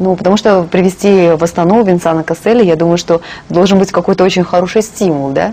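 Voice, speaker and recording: A woman talks at a fairly quick pace at medium pitch. Her loudness is very even and her intonation fairly even. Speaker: TV host. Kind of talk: TV interview. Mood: friendly, smiling. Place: studio.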